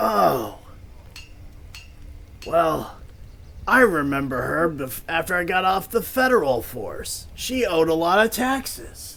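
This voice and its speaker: Using a put-on character voice, a man speaks at a high pitch and a fairly slow pace, with long, frequent pauses. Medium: actual play. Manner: deadpan, nonchalant.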